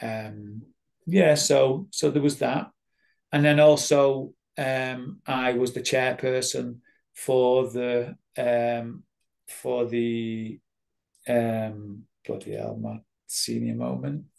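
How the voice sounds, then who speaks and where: In a Mancunian accent, a man talks at a very slow pace with a medium pitch and ordinary pitch variation. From Manchester, England. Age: 50s. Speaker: addiction recovery worker and therapist. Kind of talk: interview answer.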